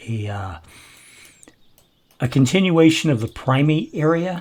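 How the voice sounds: A man talks fairly slowly in a dark, mellow tone.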